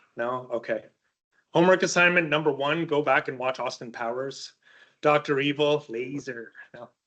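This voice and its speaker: His voice fairly high and bright, sharp in tone, a man speaks at a moderate pace with fairly even intonation and big swings in loudness. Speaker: university lecturer. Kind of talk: lecture.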